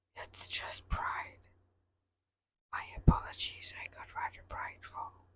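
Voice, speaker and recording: The speaker whispers. The pace is very slow. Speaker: devotional reader. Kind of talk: casual talk to listeners. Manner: whispered.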